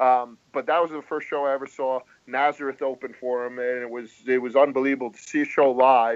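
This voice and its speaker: Speech in an American accent runs at a fairly quick pace with hardly any pauses and a monotone, flat intonation. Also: man, medium pitch for a man. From US Northeast (Rhode Island). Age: 40s. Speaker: hockey writer. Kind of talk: podcast interview.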